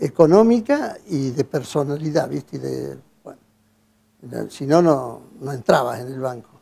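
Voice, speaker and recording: The tone is dark and mellow. Delivery comes at a fairly slow pace. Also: man. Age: 80s+. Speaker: retired bank employee. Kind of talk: interview. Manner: halting, many fillers and restarts.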